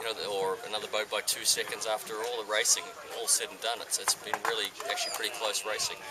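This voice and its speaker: A man talks at a very fast pace against noticeable background noise. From New Zealand. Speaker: sail designer. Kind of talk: casual interview. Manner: hesitant, many fillers.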